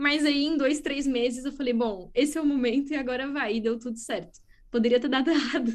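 A woman's high voice with a São Paulo accent, fairly quick, with ordinary pitch variation. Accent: Brazilian Portuguese, São Paulo. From Brazil, São Paulo state. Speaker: biologist and startup co-founder. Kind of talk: interview. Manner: enthusiastic.

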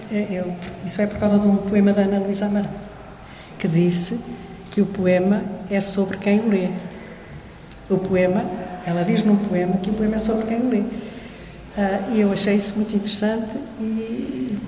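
Amid noticeable background noise and audible room echo, a woman speaks at a moderate pace with fairly even intonation and long, frequent pauses. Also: medium pitch for a woman. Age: old. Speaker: literature professor. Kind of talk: panel discussion.

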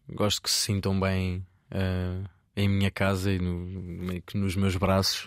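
The recording is very clean, with a silent background. A man talks at a very slow pace in a fairly low voice. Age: 20s. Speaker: chef. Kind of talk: interview. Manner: halting.

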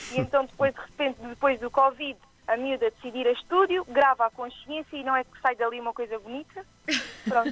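A woman with an Azorean accent talks at a fairly quick pace in a high voice. Her pitch varies in an ordinary way while her loudness swings widely. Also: dry, close sound with no echo. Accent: noticeable regional accent, Azorean. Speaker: singer-songwriter. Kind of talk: interview.

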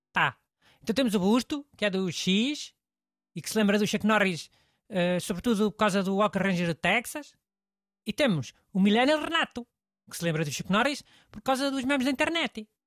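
A man with a high voice speaks in a European Portuguese accent at a moderate pace, with lively intonation and long, frequent pauses. The sound is dry and close, with no echo. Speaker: radio host. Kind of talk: casual chat.

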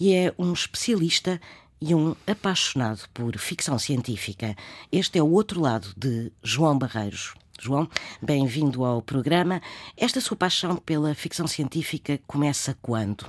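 With very wide pitch swings, a woman speaks at a very deep, low pitch and a fairly slow pace, the sound dry and close with no echo on a very clean recording with a silent background. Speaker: radio host. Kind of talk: interview.

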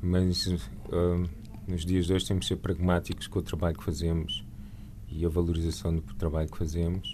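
Here a man's pitch sits very deep and low. He keeps a moderate pace. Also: ordinary pitch variation. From Lisbon, Portugal. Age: 40s. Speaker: painter and visual artist. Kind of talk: radio interview.

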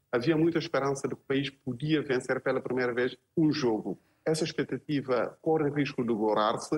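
A plain, everyday voice at a moderate pace with ordinary pitch variation, the sound dry and close with no echo. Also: man. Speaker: journalist. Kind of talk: panel discussion.

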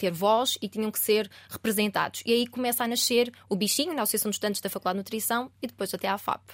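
In a very clean recording with a silent background and a dry, close sound with no echo, a woman speaks in a plain, everyday voice with a fairly high pitch and fairly even intonation. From Portugal, Aveiro district. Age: 20s. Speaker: student union president. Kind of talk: interview. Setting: studio.

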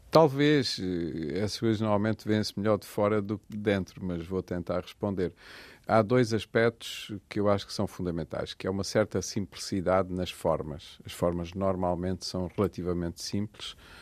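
A man with a fairly low pitch speaks at a moderate pace in an unremarkable speaking voice, with ordinary pitch variation. The sound is dry and close with no echo, over a quiet background. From Portugal, Portalegre (Alentejo). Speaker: architect. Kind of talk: radio interview.

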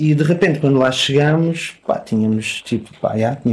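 A man speaks with lively intonation. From Portugal. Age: 40s. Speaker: punk musician. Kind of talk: casual interview.

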